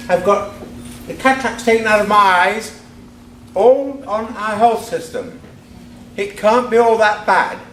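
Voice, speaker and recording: In a high voice, a man talks at a fairly slow pace with long, frequent pauses and fairly even intonation, with audible room echo and noticeable background noise. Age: 70s. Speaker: audience member asking a question. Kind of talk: public question at debate.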